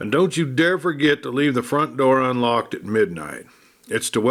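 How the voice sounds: The clip features a natural reading voice.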